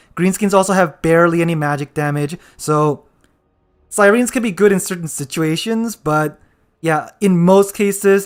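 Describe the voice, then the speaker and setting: The recording is very clean, with a silent background. The speaker talks at a moderate pace. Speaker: gaming streamer. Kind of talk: live gameplay commentary. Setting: live stream.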